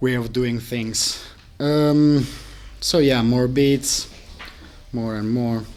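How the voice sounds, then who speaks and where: Amid audible room echo, a man speaks very slowly with fairly even intonation and long, frequent pauses. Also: medium pitch for a man. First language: not English. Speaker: live coding workshop instructor. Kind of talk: tutorial. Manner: halting.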